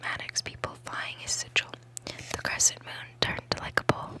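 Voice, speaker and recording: A whispering woman at a moderate pace amid noticeable background noise. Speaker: ASMR creator. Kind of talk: ASMR book reading, whispered. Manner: whispered.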